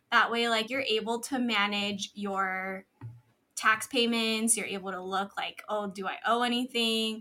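A woman speaks with a bright, sharp tone and a fairly high pitch. Her intonation is monotone and flat. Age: 20s. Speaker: tax professional and business founder. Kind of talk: casual interview chat.

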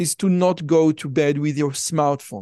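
A man speaks with an Israeli accent. The sound is dry and close, with no echo. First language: Hebrew. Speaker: podcast host. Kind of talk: interview.

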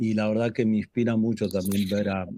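Fairly even intonation marks this man's fairly low voice, which has a dark, mellow tone. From Buenos Aires, Argentina. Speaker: patient advocate. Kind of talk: webinar panel discussion.

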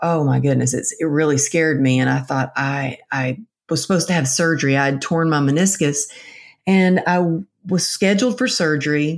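A woman with a Texan accent speaks in a very deep, low pitch at a moderate pace, with ordinary pitch variation. The recording is very clean, with a silent background. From Texas. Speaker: author and motivational speaker. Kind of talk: interview.

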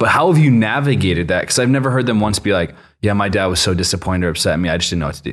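In a fairly low voice, a man talks very fast with lively intonation. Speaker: podcast host. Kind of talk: casual interview chat. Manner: casual, friendly.

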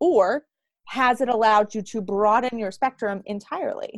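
The sound is dry and close, with no echo, as a woman talks in a normal speaking voice at a fairly high pitch. She keeps a moderate pace with ordinary pitch variation. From US, Pittsburgh, Pennsylvania. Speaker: sales coach. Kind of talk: podcast interview.

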